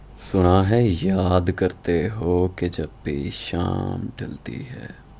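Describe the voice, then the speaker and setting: A man speaks with a very deep, low pitch, ordinary pitch variation and big swings in loudness. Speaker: poetry narrator. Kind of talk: poetry reading.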